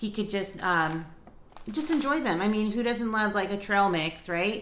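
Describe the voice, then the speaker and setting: A woman's speech comes with audible room echo and some light background noise. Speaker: lifestyle vlogger. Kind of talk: casual vlog chat. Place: kitchen. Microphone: phone near.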